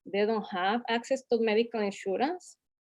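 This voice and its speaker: In a Latin American accent, a woman talks at a moderate pace. Her pitch is fairly high with ordinary variation. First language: Spanish. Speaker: community health advocate. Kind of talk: panel discussion. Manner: halting, many fillers.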